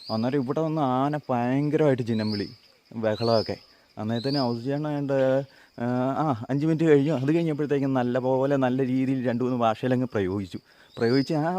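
A man talks in a normal speaking voice at a medium pitch. His intonation stays fairly even. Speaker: travel vlogger. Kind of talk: vlog narration and interview.

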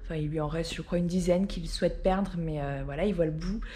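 A woman speaks with a dark, mellow tone at a fairly low pitch. Her voice is somewhat breathy. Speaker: vlogger. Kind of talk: casual vlog chat. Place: home room. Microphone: phone near.

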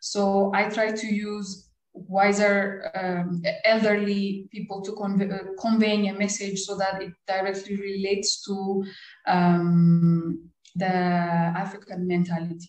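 A woman with a medium-pitched voice speaks at a very slow pace in a monotone, flat intonation. There is audible room echo. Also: quiet background. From Ethiopia, Addis Ababa; Ethiopia. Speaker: cartoonist; interviewee. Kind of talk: interview. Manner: halting, many fillers. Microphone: video call.

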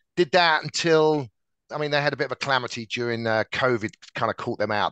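Over a quiet background and in a dry sound with no echo, a man with an English accent speaks very fast in a bright, sharp tone with ordinary pitch variation. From England. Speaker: tech sales director. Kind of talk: interview. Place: office. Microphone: headset.

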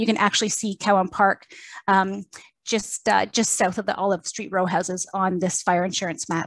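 A woman's unremarkable speaking voice at a moderate pace, with a dry, close sound and no echo. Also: medium pitch for a woman, fairly even intonation. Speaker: museum curator. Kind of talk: public lecture presentation.

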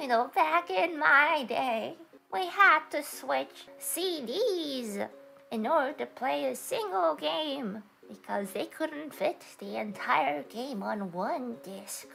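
A woman speaks in a put-on character voice, pitched high and swinging very widely up and down. Her pace is very slow. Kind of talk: casual livestream talk to chat. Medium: role play.

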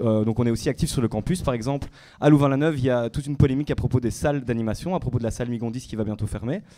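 Speaking very fast, a man with a dark, mellow tone uses ordinary pitch variation. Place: hall. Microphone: handheld.

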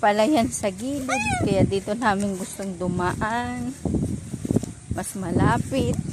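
A woman at a very slow pace, her pitch swinging very widely, with noticeable background noise. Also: medium pitch for a woman. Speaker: family vlogger. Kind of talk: casual walking vlog narration. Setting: outdoors.

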